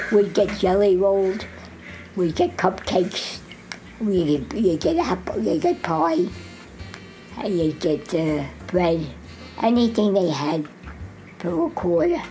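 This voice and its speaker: Music plays behind a woman with an American accent who speaks fairly slowly at a medium pitch with ordinary pitch variation, pausing long and often. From Jersey City, New Jersey. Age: 80s+. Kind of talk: interview answer.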